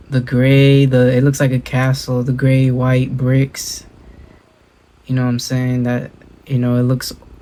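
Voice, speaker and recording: Pausing often and at length, a man with an American accent speaks in a dark, mellow tone. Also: medium pitch for a man, fairly slow pace. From Southern California (Inland Empire). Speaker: reaction video YouTuber. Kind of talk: casual reaction commentary. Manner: casual, filler-heavy slang.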